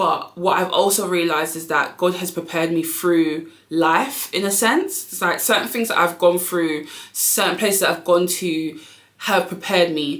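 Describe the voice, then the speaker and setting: There is audible room echo and noticeable background noise as a woman speaks at a fairly low pitch with fairly even intonation. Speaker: YouTuber and business owner. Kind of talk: casual motivational vlog. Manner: fast.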